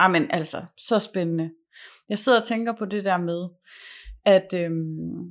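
In a very clean recording with a silent background, a woman speaks at a fairly low pitch with ordinary pitch variation. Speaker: communication and performance coach. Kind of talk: casual chat; guided meditation. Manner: slow.

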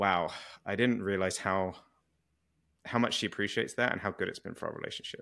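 A man with a British accent, fairly low pitch and a bright, sharp tone, at a fairly quick pace with fairly even intonation and long, frequent pauses, on a very clean recording with a silent background. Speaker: relationship podcast host. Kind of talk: casual interview.

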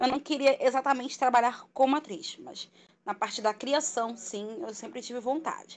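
At a moderate pace, a woman talks in a high pitch. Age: 30s. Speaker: telemarketing worker. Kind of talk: casual chat. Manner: talkative.

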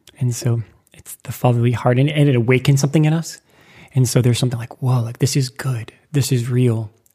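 With an American accent, a man talks at a very fast pace and sounds somewhat breathy. His intonation is fairly even, while his loudness swings a lot. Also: medium pitch for a man. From US Midwest (Lincoln, Nebraska). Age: 30s. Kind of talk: casual chat.

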